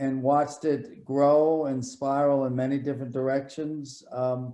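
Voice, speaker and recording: In a fairly high voice, a man talks with monotone, flat intonation. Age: 70s. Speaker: hip hop enthusiast guest. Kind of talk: casual chat.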